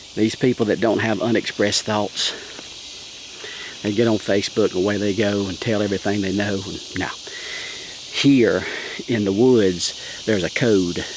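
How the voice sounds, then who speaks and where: A man's fairly low, monotone, flat delivery in a Southern US accent, at a moderate pace broken by long, frequent pauses, with noticeable background noise. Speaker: pastor. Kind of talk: casual vlog. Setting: outdoors in the woods.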